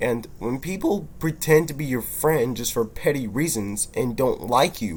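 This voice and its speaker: A man with a fairly high, somewhat breathy voice talks fairly slowly, his intonation lively. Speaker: vlogger. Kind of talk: personal monologue. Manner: halting.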